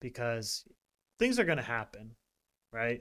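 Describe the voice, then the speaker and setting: Here is an ordinary speaking voice at a moderate pace. The recording is very clean, with a silent background. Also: man. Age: 40s. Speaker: wellness podcast co-host. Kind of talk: casual chat.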